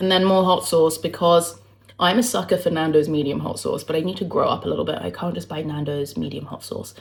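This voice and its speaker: A woman speaks at a fairly quick pace with fairly low pitch and vocal fry. Her pitch varies in an ordinary way. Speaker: lifestyle vlogger. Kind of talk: casual talk to camera.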